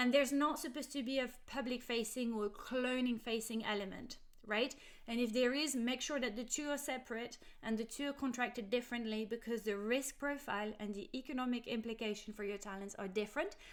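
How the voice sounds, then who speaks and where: Speaking fairly quickly with a French accent, a woman uses a high pitch, ordinary pitch variation and a passionate tone. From France, Paris. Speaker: legal adviser. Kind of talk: explainer video.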